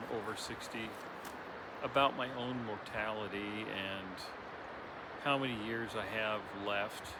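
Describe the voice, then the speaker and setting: A man speaks in a relaxed tone at a moderate pace and medium pitch, with ordinary pitch variation. Audible room echo and noticeable background noise surround him. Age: 60s. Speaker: spiritual vlogger. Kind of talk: reflective monologue. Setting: outdoors by a river. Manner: relaxed, hesitant with fillers.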